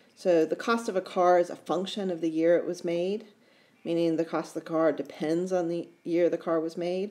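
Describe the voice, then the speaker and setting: A woman speaks with an American accent at a fairly quick pace. Her tone is dark and mellow, and her pitch fairly low. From United States. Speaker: math teacher. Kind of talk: lecture. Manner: casual, with self-corrections and false starts.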